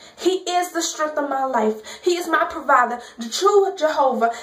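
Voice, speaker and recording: A woman with lively intonation talks at a fairly slow pace while noticeable background noise persists. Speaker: spoken word poet. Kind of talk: gospel spoken word poetry performance.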